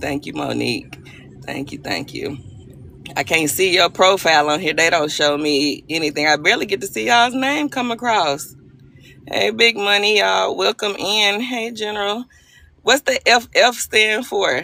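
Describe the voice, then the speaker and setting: A Southern US accent with very wide pitch swings, a moderate pace, vocal fry, and a bright, sharp tone. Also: woman, medium pitch for a woman. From Arkansas. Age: 40s. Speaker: livestream host. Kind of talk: casual chat. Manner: animated.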